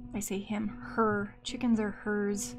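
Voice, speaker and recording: A woman speaks with a somewhat breathy voice. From US Midwest. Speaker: artist live streamer. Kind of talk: live stream talking while drawing. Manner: casual, talking to herself.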